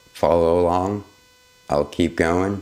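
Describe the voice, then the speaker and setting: Noticeable background noise runs through the clip. A man is talking. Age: 30s. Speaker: vlogger, photographer. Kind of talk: unscripted personal vlog. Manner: casual, halting at times.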